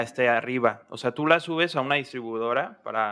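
This man's voice has a bright, sharp tone and a medium pitch. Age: 20s. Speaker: engineering student and band musician. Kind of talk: casual chat.

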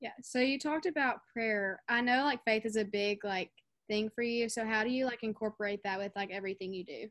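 This woman has a normal speaking voice, fairly high, with ordinary pitch variation and a fairly quick pace. The sound is dry and close with no echo. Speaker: student podcast host. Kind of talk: casual interview.

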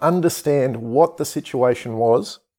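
A man with a dark, mellow tone speaks at a fairly slow pace with lively intonation in a very clean recording with a silent background. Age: 40s. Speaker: podcast host and stepdad. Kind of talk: solo podcast monologue with advice.

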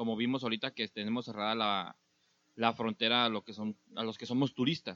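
In a dry, close sound with no echo, a man talks at a fairly quick pace with a bright, sharp tone and monotone, flat intonation. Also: medium pitch for a man. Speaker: podcast host. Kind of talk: casual chat.

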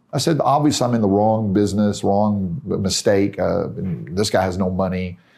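In an American accent, a man talks with a dark, mellow tone. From US South, Tennessee. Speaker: real estate investor and author. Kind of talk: interview. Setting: in person in Israel.

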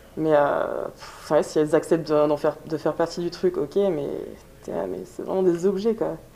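A moderate pace over noticeable background noise. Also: woman. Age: 20s. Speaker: amateur american football player. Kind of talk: interview testimony. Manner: halting.

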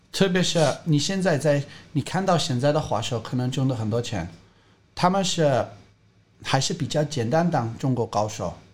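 With an English accent, a man speaks at a moderate pace in a fairly high pitch, somewhat breathy, with lively intonation. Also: long, frequent pauses. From England. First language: English (speaking Chinese). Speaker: skateboarding coach. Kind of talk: casual interview.

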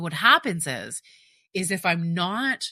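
A woman's bright, sharp tone comes through in a very clean recording with a silent background. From partly South America. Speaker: therapist and podcast host. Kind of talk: solo podcast monologue. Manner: conversational, with fillers.

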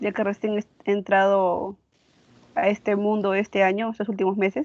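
The woman's pitch is medium. She talks at a fairly slow pace. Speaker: architecture student. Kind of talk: casual chat.

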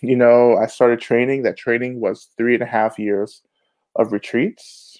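A man speaks with an American accent at a moderate pace. His pitch is medium. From US South, Georgia (Rome). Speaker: Buddhist teacher and author. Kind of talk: interview.

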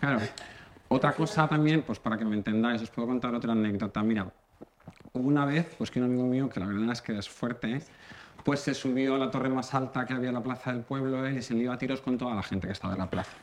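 A man talks at a very fast pace and medium pitch with ordinary pitch variation, with noticeable background noise behind him. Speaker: comedy contributor. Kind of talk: comedic monologue.

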